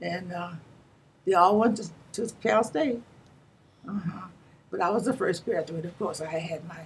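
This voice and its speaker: A woman speaks in an American accent at a moderate pace, her voice fairly low and somewhat breathy, with ordinary pitch variation. Her loudness swings widely, and she leaves long, frequent pauses. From Santa Monica, Southern California. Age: 90s. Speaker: retired teacher and community elder. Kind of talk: oral history interview. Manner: halting, repetitive.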